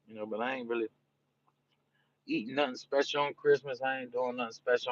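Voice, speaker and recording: A man with a New Orleans accent speaks in a relaxed tone at a medium pitch with ordinary variation, the sound dry and close with no echo. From New Orleans, Louisiana (US South). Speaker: live streamer. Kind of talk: casual live-stream chat. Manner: relaxed, repetitive.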